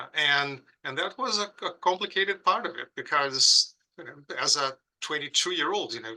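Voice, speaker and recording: A bright, sharp tone with a Brazilian accent, moderate in pace and lively in intonation. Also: man, high pitch for a man. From southern Brazil, Porto Alegre. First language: Portuguese. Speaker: pediatric critical care professor. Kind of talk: podcast interview. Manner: halting with frequent repetitions.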